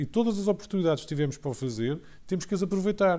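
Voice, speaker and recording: A man talks with a dark, mellow tone. His intonation is lively. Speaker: HR consultant, panelist. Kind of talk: panel discussion. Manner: halting, repeated words.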